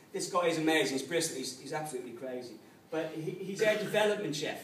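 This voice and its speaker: A man speaks very fast with lively intonation, his voice echoing in the room over noticeable background noise. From Ireland, Dublin. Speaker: pub owner. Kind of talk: business talk to an audience. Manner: casual, conversational.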